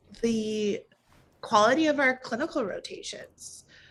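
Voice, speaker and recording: She speaks with a General American accent at a very slow pace. The woman's intonation is lively. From St. Louis, Missouri. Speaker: medical resident. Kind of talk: interview answer.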